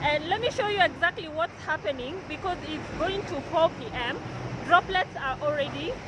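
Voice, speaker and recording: A woman shouts loudly at a moderate pace, her intonation lively, with noticeable background noise behind her. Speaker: vlogger. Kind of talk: walking vlog tour. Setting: outdoors on a busy street. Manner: loud, shouting over noise.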